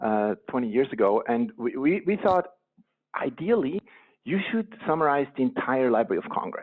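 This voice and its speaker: In a Swiss accent, a man speaks at a moderate pace with very wide pitch swings. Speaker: company co-founder. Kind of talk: podcast interview.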